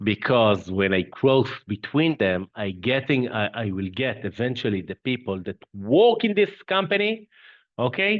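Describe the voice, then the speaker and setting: At a fairly slow pace, a man with a non-native accent speaks in a medium pitch that swings very widely. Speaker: company CEO, webinar presenter. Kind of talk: webinar presentation. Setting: online webinar. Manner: halting, with fillers and repetitions.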